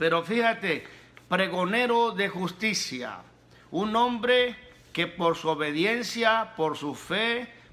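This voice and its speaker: At a very slow pace, a man uses a raised, projected voice with lively intonation. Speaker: pastor, preacher. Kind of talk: sermon, preaching.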